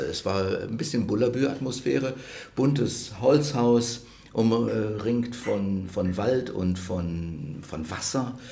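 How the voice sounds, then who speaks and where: Audible room echo surrounds a man speaking very slowly at a medium pitch. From Rhineland, Germany. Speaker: cultural institute director. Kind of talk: interview conversation. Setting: restaurant.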